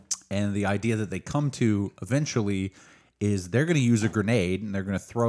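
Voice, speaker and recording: In a very clean recording with a silent background, a man with an American accent and a plain, everyday voice speaks at a moderate pace, fairly low in pitch with ordinary pitch variation. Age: 30s. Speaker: book podcast co-host. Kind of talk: casual chat.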